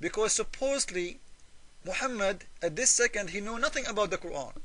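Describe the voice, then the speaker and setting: The voice is raised and projected, with a bright, sharp tone. Its intonation is lively and its pace fairly quick. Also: man, high pitch for a man. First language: Arabic. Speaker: religious polemic video maker. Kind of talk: argumentative commentary. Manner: halting.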